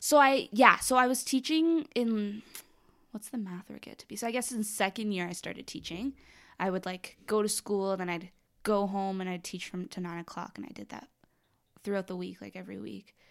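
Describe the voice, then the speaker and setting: In an ordinary speaking voice, a woman with a Canadian accent talks at a fairly quick pace and medium pitch with ordinary pitch variation, on a very clean recording with a silent background. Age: 20s. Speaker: R&B singer-songwriter. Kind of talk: casual chat.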